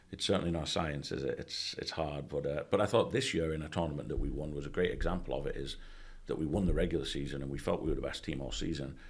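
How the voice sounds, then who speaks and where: A man with an English accent talks at a very fast pace. The room echo is audible. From England. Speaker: college soccer coach. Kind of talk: podcast interview. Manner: casual, conversational.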